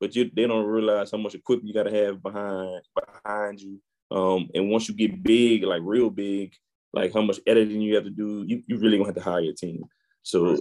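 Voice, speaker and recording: Fairly low in pitch, a man talks at a fairly quick pace in a monotone, flat intonation. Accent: New Orleans. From New Orleans, Louisiana. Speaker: IT entrepreneur and podcaster. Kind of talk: interview.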